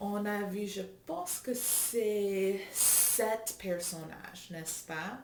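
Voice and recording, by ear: Someone reads aloud in a natural voice, the pitch varying in an ordinary way.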